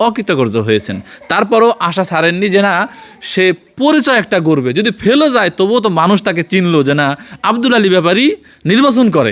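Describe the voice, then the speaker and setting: Amid noticeable background noise, a man with a high pitch speaks at a very even loudness while his pitch swings very widely. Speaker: journalist. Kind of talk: field interview and report. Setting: on location at interviewee's home.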